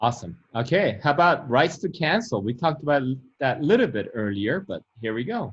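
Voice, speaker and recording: A fairly high-pitched, somewhat breathy man with a non-native accent, at a fairly quick pace with very wide pitch swings. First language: not English. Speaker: real estate broker and channel host. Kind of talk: instructional interview.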